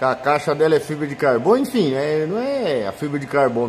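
Light background noise sits behind a man speaking at a fairly slow pace. His pitch is fairly high and his intonation lively. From Brazil. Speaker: paintless dent repair technician. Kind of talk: tutorial. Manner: casual, colloquial. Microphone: phone near.

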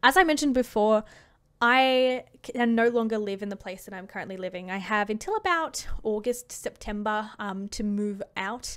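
A woman speaks at a moderate pace in a fairly high voice with ordinary pitch variation, her loudness swinging widely against a quiet background. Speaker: gaming YouTuber; streamer. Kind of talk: unscripted monologue to camera. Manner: hesitant, pausing; laughs often. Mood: thoughtful, slightly hesitant. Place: home room. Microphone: studio mic.

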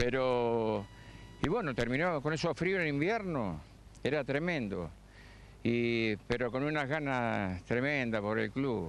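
Delivery is very slow, with lively intonation and very even loudness. The sound is dry with no echo, over light background noise. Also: man. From Argentina. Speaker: retired amateur footballer; interviewee. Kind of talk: live TV interview. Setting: outdoors on a football pitch. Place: stadium. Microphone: handheld.

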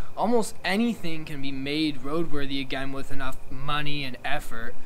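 Ordinary pitch variation marks this man's speech at a moderate pace. Light background noise is present. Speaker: motorcycle hobbyist vlogger. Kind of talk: casual vlog chat. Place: garage.

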